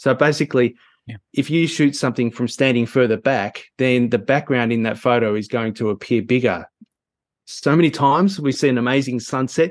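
Here a man talks at a fairly quick pace. His pitch is medium with ordinary variation. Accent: Australian. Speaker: photography teacher.

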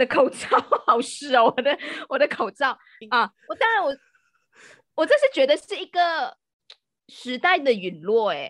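High female speech with very wide pitch swings, a fairly slow pace, long and frequent pauses, and a dry, close sound with no echo. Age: 30s. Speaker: podcast guest. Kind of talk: casual chat.

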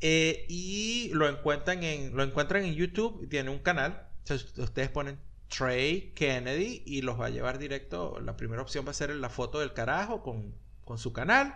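Audible room echo surrounds the recording. A man talks at a moderate pace. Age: 40s. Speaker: podcast co-host. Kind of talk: casual chat.

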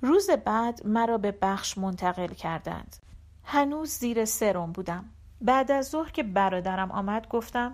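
With lively intonation, the delivery is a natural reading voice.

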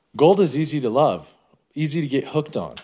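On a very clean recording with a silent background, a man with an American accent and a dark, mellow tone talks at a moderate pace. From Northern California (North Bay Area). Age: 30s. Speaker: gold prospector, podcaster. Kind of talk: personal storytelling monologue. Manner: casual, conversational.

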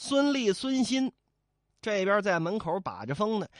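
Over a quiet background, the tone comes across animated and playful. Delivery moves at a fairly slow pace. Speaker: storyteller. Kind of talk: storytelling narration, classic novel told aloud with character voices. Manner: animated, playful and colloquial, with comic asides to the audience.

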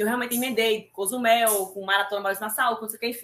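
An unremarkable speaking voice from a woman, pitched fairly high, the intonation fairly even. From Brazil, Recife (Pernambuco). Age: 40s. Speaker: amateur triathlete. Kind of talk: casual interview. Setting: live stream.

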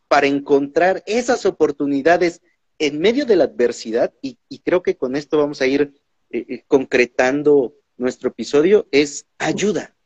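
At a fairly slow pace, a man speaks with lively intonation and a fairly high pitch. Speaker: podcast host. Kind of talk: interview. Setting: online livestream. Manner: talkative.

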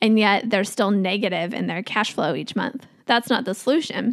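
With an American accent and a normal speaking voice, a woman talks at a moderate pace and a fairly high pitch, with ordinary pitch variation. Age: 30s. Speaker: podcast host, financial coach. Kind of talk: solo podcast talk.

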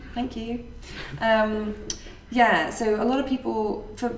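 A woman speaks with a fairly high pitch. Noticeable background noise can be heard. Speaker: podcast host and meetup organiser. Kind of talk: casual chat, podcast.

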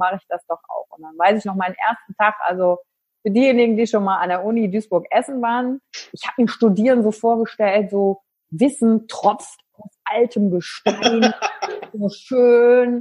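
A somewhat breathy woman's voice, fairly high in pitch, at a moderate pace with big swings in loudness and a dry, close sound with no echo. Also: ordinary pitch variation. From western Germany, Wülfrath near Wuppertal. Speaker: business coach and trainer. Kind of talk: interview. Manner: animated.

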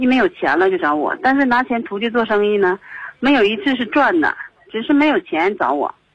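A woman talks in a fairly high register, her pitch swinging very widely. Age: 30s. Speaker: caller. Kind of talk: phone-in advice call. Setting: phone call. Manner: halting.

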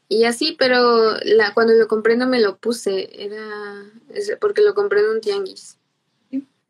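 Her pitch is fairly high with ordinary variation, and she moves at a fairly slow pace. This woman has an unremarkable speaking voice. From Mexico, Irapuato, Guanajuato. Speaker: cultural promoter. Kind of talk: interview.

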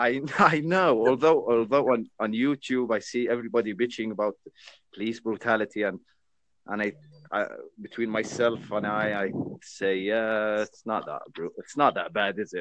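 Speaking at a moderate pace in an Arabic accent, this voice shows ordinary pitch variation. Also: man, medium pitch for a man. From Jordan. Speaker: chat stranger. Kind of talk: casual chat.

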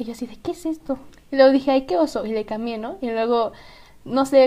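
This woman's voice is high-pitched, with a dark, mellow tone. She talks at a very fast pace with ordinary pitch variation. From central Mexico, Estado de México. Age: young. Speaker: podcast co-host. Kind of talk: casual chat.

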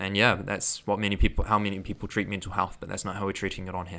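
A man's fairly low, bright, sharp voice with a New Zealand accent, monotone and flat, at a very fast pace in a very clean recording with a silent background. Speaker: podcast host and mental health coach. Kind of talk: solo podcast monologue. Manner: casual, conversational, laughs often.

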